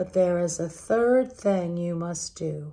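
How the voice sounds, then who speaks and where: A woman's put-on character voice, fairly low in pitch, at a fairly slow pace. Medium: read story. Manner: gentle, warm.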